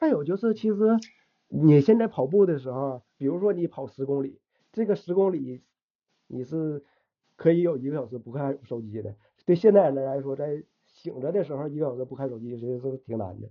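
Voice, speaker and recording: In a northeastern Chinese accent, the voice moves at a fairly quick pace with lively intonation and big swings in loudness. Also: man, fairly high pitch for a man. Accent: northeastern Mandarin. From Shenyang, Liaoning, northeast China. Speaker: programmer and runner. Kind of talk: casual interview chat. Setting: podcast recording.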